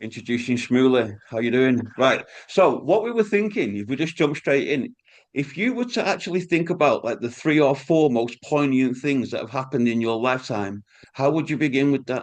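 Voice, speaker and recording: Speaking in a Manchester accent, a man at medium pitch uses lively intonation at a moderate pace over a quiet background. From Manchester, England (Wythenshawe). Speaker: podcast host. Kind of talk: interview.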